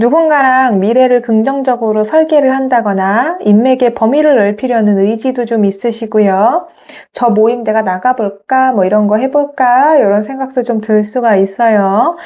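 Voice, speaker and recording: A woman's dark, mellow tone at a fairly high pitch, delivered at a fairly slow pace. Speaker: tarot reader. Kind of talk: tarot reading monologue.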